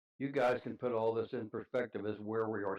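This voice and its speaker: With a Midwestern US accent, a man talks in a medium pitch at a moderate pace. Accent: rural Midwestern American. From US Midwest, rural southeastern Indiana. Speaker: grandfather interviewed about family history. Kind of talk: casual interview, reminiscing.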